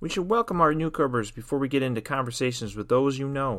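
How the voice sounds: The pitch shifts in an ordinary way across a natural reading voice.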